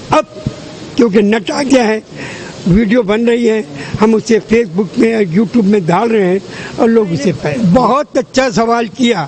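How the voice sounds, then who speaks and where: A man with a high voice talks, his pitch varying in an ordinary way, while noticeable background noise carries on. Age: 90s. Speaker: faith healer. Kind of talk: interview.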